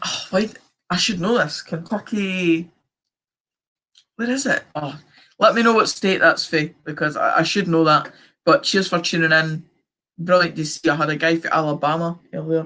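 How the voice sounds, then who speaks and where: The speaker has a central Scottish accent and a bright, sharp tone, moving at a moderate pace with ordinary pitch variation and long, frequent pauses. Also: man, high pitch for a man. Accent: Scottish, central Scotland. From Scotland, central belt. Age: young. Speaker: football fan streamer. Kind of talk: live stream watchalong chat, reading comments. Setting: live stream.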